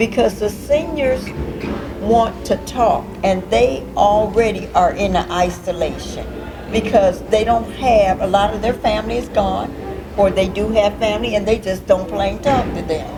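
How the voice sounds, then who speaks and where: Over music in the background, a woman speaks at a fairly slow pace and medium pitch. Her pitch varies in an ordinary way, and audible room echo is present. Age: 60s. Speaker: senior services caseworker. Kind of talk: talk show discussion.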